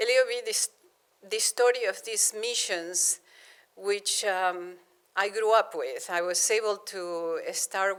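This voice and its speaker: A woman with a Spanish accent speaks at a fairly high pitch. Her pace is very slow and her pitch variation ordinary. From Argentina, Buenos Aires. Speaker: planetary scientist. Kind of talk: public lecture. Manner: halting, many repetitions.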